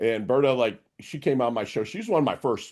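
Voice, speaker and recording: Animated and full of vocal fry, a man talks at a fairly quick pace with very wide pitch swings over a quiet background. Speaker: podcast host and coach. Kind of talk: interview.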